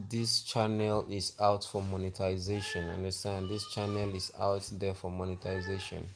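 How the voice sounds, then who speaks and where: Against noticeable background noise, a man speaks at a fairly low pitch and a fairly slow pace. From Nigeria, Akwa Ibom State. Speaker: livestreamer. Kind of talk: live stream monologue.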